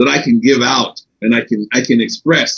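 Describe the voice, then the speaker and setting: Using vocal fry and very wide pitch swings, a man talks at a moderate pace. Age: 70s. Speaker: veteran MMA and boxing event staffer. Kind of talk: casual podcast interview. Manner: halting, many repeated words.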